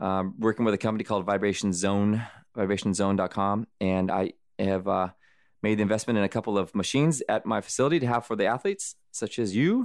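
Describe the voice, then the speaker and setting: A man with an American accent talks at a very fast pace in a fairly low pitch, his loudness very even. The recording is very clean, with a silent background. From US Southwest (Arizona, California). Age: 40s. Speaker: ultramarathon runner. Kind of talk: interview. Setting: studio. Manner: animated.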